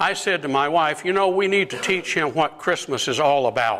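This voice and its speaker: This man talks at a moderate pace with lively intonation and a fairly high pitch. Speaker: deacon. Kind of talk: talk to a lunch group. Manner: moves around while talking.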